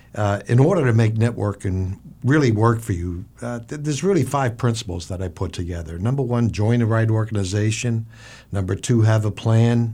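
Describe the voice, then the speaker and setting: This voice is somewhat breathy, with a dark, mellow tone and a moderate pace. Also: man. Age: 60s. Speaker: businessman, networking guest. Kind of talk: business advice talk.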